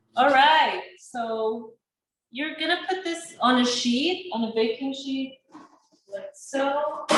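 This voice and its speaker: High-pitched woman's voice with a non-native accent, ordinary pitch variation and a very slow pace. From Sudan. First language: not English. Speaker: chef and small business owner. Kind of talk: cooking class.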